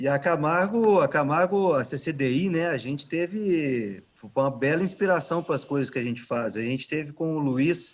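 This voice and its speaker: With a Minas Gerais accent, a man speaks at a fairly high pitch and a moderate pace with lively intonation and hardly any pauses, in a very clean recording with a silent background. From Minas Gerais, Brazil. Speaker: innovation manager at a construction company. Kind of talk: casual chat.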